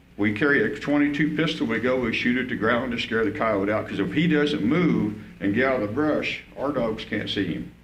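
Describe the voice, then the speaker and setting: A man talks at a fairly quick pace with ordinary pitch variation. Audible room echo and noticeable background noise are present. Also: medium pitch for a man, hardly any pauses. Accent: American. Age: 60s. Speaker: coyote hunter speaking at public comment. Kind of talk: public comment at a commission meeting. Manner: halting, repetitive.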